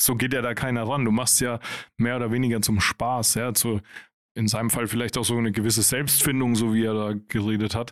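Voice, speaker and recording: A man speaks very fast at a medium pitch, in a flat monotone with very even loudness, on a very clean recording with a silent background. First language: German. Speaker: podcast co-host. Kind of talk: casual chat.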